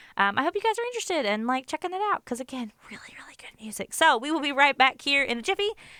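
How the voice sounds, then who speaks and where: A woman talks at a very fast pace in a high pitch with hardly any pauses, her bright, sharp, animated tone swinging very widely in pitch and greatly in loudness, in a dry, close sound with no echo. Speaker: college radio DJ. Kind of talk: radio interview. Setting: radio studio.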